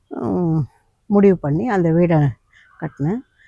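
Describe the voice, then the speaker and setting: Dry and close with no echo, a woman speaks with a dark, mellow tone at a fairly low pitch and ordinary pitch variation. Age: 70s. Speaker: vlogger. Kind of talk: personal testimony. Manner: halting.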